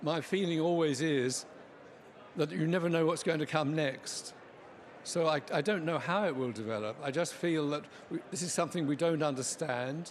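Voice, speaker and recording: This man has a fairly high pitch and an English accent. He talks at a moderate pace with ordinary pitch variation. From England. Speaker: scientist. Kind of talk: interview.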